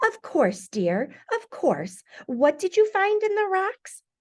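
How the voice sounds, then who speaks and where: A put-on character voice, female-sounding and squeaky, pitched extremely high. It moves at a fairly slow pace. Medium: read story. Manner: brisk.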